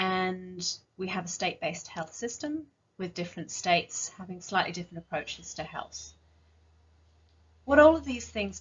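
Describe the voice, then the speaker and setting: At a moderate pace, a woman speaks with an English accent. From northern England. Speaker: rare disease clinician or advocate. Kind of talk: conference presentation. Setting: virtual conference.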